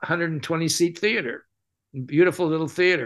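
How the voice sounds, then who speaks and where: A man with an American accent speaks at a fairly high pitch with a bright, sharp tone. The background is quiet. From California, US West. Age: 70s. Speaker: mime performer and teacher; teacher. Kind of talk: casual interview. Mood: relaxed, reflective. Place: home room. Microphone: video call.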